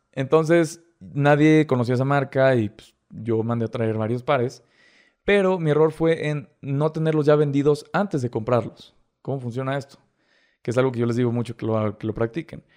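A man with a Mexican accent at a moderate pace. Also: medium pitch for a man, ordinary pitch variation. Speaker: TikTok creator. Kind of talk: casual chat.

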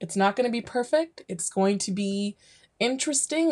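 Here a woman has a fairly high pitch and a dark, mellow tone. Her intonation is lively. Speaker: teacher and podcast host. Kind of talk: podcast trailer. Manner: put-on polished podcaster voice.

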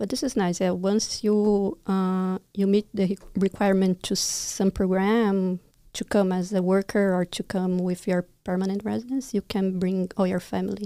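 In a Brazilian accent with a dark, mellow tone, the speech flows with hardly any pauses, recorded dry and close with no echo in a very clean recording with a silent background. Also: woman, medium pitch for a woman, fairly even intonation, moderate pace. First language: Portuguese. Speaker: immigration consultant. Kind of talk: casual interview chat. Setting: studio livestream.

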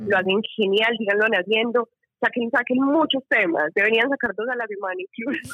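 Her pitch varies in an ordinary way as this woman talks at a moderate pace. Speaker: listener caller. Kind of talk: casual chat. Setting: phone call. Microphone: bad connection.

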